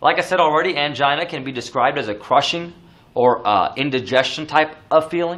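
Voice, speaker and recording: Audible room echo surrounds a man's bright, sharp tone. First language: not English. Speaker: nursing exam lecturer. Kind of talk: lecture. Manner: casual, many fillers.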